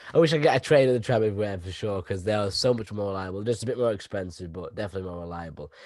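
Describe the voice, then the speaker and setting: A man with a Derbyshire accent speaks at a very fast pace with hardly any pauses, fairly low pitch, ordinary pitch variation, and big swings in loudness. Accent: northern English (Derbyshire). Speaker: podcast host. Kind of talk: casual chat. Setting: video call.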